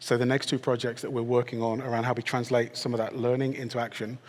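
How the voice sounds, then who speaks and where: A man with a British accent speaks at a very fast pace. His medium-pitched voice stays monotone and flat. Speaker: technology executive, panellist. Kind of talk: panel discussion.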